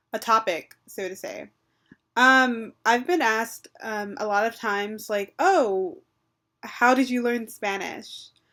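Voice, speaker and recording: A woman with a fairly high pitch speaks very slowly in a bright, sharp tone, with ordinary pitch variation, on a very clean recording over a silent background. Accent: American. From Texas. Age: 20s. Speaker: language learner and vlogger. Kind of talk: personal vlog storytelling. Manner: hesitant, many fillers.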